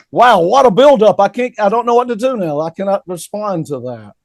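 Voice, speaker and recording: A man speaks in an animated tone at a high pitch, with lively intonation and hardly any pauses. The sound is dry and close, with no echo. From US South. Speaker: rock guitarist. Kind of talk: casual chat.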